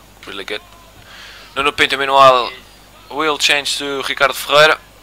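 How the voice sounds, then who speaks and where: This man has a Madeiran accent. His pitch sits in the medium range. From Madeira, Portugal. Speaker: sim racing commentator. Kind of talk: live commentary.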